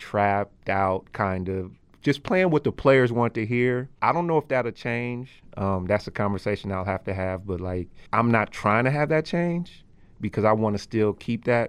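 A man with an American accent and a normal speaking voice talks at a moderate pace, fairly low in pitch with lively intonation, against a quiet background. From Oakland, California. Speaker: arena DJ. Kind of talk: casual chat.

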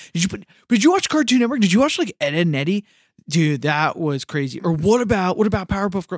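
Talking at a very fast pace with lively intonation, this man has a high pitch, and the dry, close sound with no echo comes from a very clean recording with a silent background. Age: 30s. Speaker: podcast co-host. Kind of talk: casual chat.

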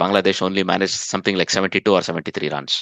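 The voice has a bright, sharp tone and a fairly quick pace, recorded with a dry, close sound and no echo. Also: man. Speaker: podcast host.

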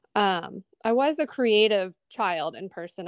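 A woman with an American accent uses a normal speaking voice at a medium pitch with lively intonation. The sound is dry and close, with no echo. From Columbus, Ohio. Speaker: abstract artist. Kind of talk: interview.

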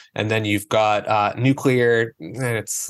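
A man with a normal speaking voice, a fairly low pitch, fairly even intonation and a fairly slow pace. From US Northeast (northern Maine). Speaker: energy consultant. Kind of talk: interview.

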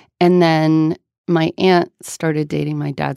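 A woman speaks at a fairly slow pace. The recording is very clean and silent behind her, with a dry, close sound and no echo. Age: 30s. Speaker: author and writing teacher. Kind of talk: interview. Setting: studio.

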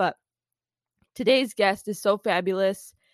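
A woman with an ordinary speaking voice talks at a fairly quick pace and medium pitch with fairly even intonation, recorded dry and close with no echo over a quiet background. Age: 20s. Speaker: podcast host, PR professional. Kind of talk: casual interview and solo talk.

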